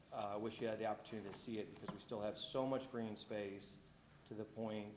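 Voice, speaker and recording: A man with a fairly low voice talks at a fairly quick pace, with audible room echo and noticeable background noise. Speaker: homeowner applicant. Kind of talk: public hearing testimony. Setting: city planning commission meeting. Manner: loud.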